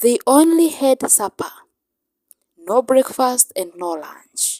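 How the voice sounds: A woman's fairly high, slightly mellow voice with lively intonation at a slow pace, in a dry, close sound with no echo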